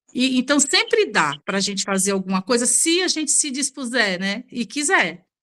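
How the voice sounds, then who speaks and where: A woman's high, bright, sharp voice with very wide pitch swings and hardly any pauses. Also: moderate pace. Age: 60s. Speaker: beauty professional, book club member. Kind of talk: book club discussion.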